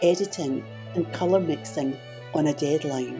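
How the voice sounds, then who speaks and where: The speaker is a woman with a fairly slow pace. Behind her, music plays. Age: 70s. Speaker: artist and YouTube art tutorial creator. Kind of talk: casual talk to camera, channel journey explanation.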